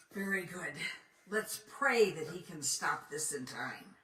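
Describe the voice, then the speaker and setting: A woman's raspy, put-on character voice at medium pitch, with lively intonation, big swings in loudness, and a fairly slow pace. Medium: short film. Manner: authoritative.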